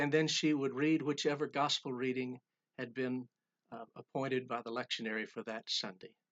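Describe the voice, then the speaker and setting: Speaking at a moderate pace, a man holds a medium pitch with ordinary pitch variation. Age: 60s. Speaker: pastor. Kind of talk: sermon.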